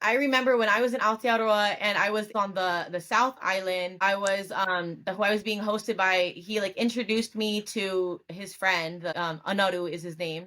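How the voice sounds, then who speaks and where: On a very clean recording with a silent background, a woman with an American accent speaks at a medium pitch in a bright, sharp tone, with fairly even intonation and hardly any pauses. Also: moderate pace. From California. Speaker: podcast host. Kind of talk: casual interview chat.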